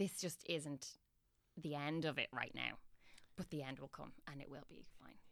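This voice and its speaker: A woman with a Dublin accent, very deep and low in pitch, with vocal fry, big swings in loudness and a moderate pace. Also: fairly even intonation. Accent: Irish (Dublin). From Ireland. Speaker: actress. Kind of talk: casual interview chat.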